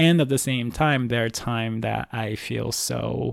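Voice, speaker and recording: A man with a Japanese accent speaks at a fairly slow pace and medium pitch. The recording is very clean and dry, with a silent background and a close sound that has no echo. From Osaka, Japan. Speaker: Broadway ensemble performer. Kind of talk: casual interview chat.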